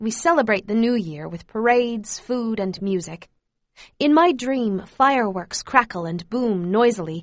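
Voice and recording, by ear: The background is quiet. Someone reads aloud in a natural voice.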